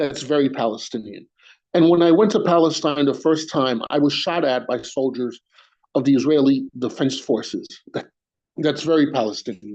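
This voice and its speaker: This man, with a New York accent, talks at a moderate pace in a fairly high pitch with ordinary pitch variation. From New York City, Queens. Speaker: spoken word poet. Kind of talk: poetry reading. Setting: video call on a phone. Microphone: phone mic.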